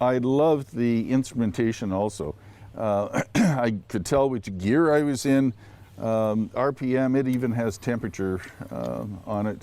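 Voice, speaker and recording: A man's medium-pitched voice, dark and mellow, at a fairly slow pace, in a very clean recording with a silent background. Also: ordinary pitch variation. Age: 60s. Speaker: charity auction winner test rider. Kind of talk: interview about a test ride. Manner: hesitant, many fillers.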